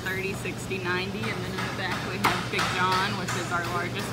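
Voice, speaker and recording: Clear music sounds in the background. Over it, a woman talks at a fairly slow pace. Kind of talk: interview answer. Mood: upbeat, smiling. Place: factory.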